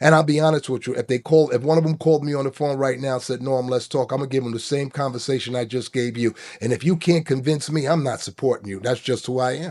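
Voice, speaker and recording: In a New York accent, a man of medium pitch rattles along at a very fast pace with hardly any pauses. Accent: Bronx New York. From New York, South Bronx. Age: 60s. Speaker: former union leader. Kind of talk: casual interview chat. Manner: animated.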